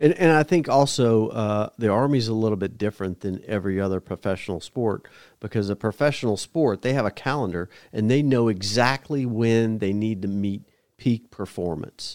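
In a normal speaking voice, a man with a fairly low pitch talks at a moderate pace with ordinary pitch variation, in a dry, close sound with no echo. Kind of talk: interview about Army fitness. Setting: studio.

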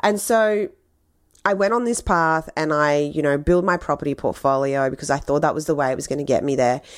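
A woman with a strong Australian accent speaks in an animated, enthusiastic tone at a very deep, low pitch. The recording is very clean, with a silent background. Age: 30s. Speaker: podcast host, money and business coach. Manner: animated, enthusiastic, casual.

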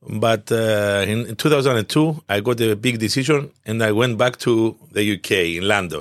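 A medium-pitched man with a Cypriot accent and ordinary pitch variation, at a moderate pace with hardly any pauses, in a very clean recording with a silent background. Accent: Greek Cypriot. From Cyprus, Limassol. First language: Greek. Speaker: business association founder. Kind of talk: interview. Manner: halting.

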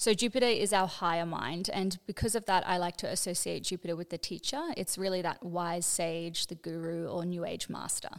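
Delivered in a normal speaking voice, the speech runs at a fairly quick pace with hardly any pauses and fairly even intonation. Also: woman, fairly low pitch for a woman. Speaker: astrologer. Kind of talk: explanatory teaching.

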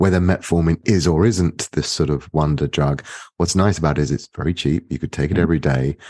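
A British-accented man with a very deep, low pitch and a dark, mellow tone, ordinary pitch variation, a fairly quick pace and a dry, close sound with no echo. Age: 50s. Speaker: economics professor. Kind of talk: interview.

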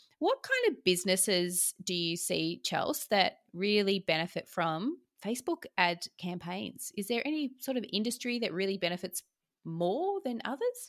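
An ordinary speaking voice from a woman at a moderate pace, dry and close with no echo, on a very clean recording with a silent background. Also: medium pitch for a woman, lively intonation, big swings in loudness. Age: 40s. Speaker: podcast host, business profit coach. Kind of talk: scripted podcast intro; interview.

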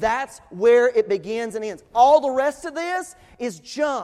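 A man with an East Tennessee accent and lively intonation. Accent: Southern American (East Tennessee). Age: 40s. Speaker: pastor. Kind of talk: sermon. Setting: church.

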